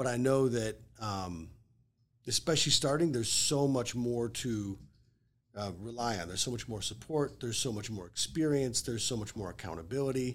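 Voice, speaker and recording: On a very clean recording with a silent background, a man speaks at medium pitch and moderate pace. It is an ordinary speaking voice with ordinary pitch variation. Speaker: real estate agent. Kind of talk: casual interview chat. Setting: studio.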